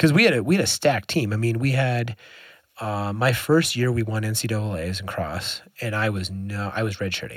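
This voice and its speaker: The voice moves at a fairly quick pace. Its pitch variation is ordinary. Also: man, fairly low pitch for a man. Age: 30s. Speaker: physiotherapist and former pro runner. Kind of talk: casual interview conversation. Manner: halting, many repeated words.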